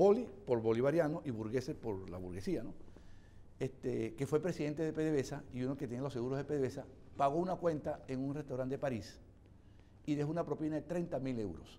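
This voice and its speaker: Speaking very fast, a man with a fairly high pitch uses lively intonation and a dark, mellow tone. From Venezuela. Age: 60s. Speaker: economist and opposition legislator. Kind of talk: TV interview. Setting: TV studio.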